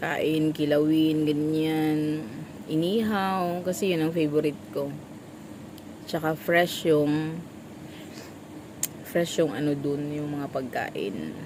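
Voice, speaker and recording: A woman with a very deep, low pitch and ordinary pitch variation speaks at a very slow pace with long, frequent pauses, and audible room echo surrounds her voice. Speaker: vlogger, small store vendor. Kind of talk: casual vlog chat.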